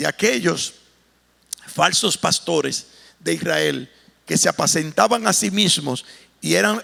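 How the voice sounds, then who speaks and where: A man speaks with long, frequent pauses. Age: 60s. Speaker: pastor. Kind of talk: sermon.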